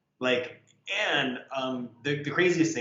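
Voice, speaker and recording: Audible room echo colors the recording. The man speaking uses ordinary pitch variation. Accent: American. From United States. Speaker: artist. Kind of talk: casual chat.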